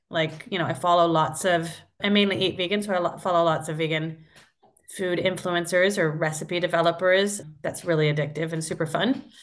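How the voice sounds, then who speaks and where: A woman talks with an American accent at a fairly quick pace. She has an ordinary speaking voice, fairly low in pitch, with ordinary pitch variation. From US Midwest (Iowa). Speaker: app co-founder. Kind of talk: casual interview.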